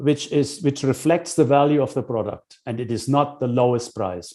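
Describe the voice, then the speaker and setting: A man speaks at a moderate pace and a medium pitch. His tone is dark and mellow, over a quiet background. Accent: German. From Germany. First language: German. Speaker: business consultant. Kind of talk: lecture. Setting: webinar. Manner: halting, with many fillers.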